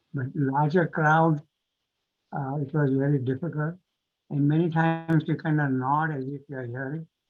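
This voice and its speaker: Over music in the background, a man with a fairly high pitch speaks in a monotone, flat intonation. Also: moderate pace. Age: 80s+. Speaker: webinar moderator. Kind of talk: casual chat.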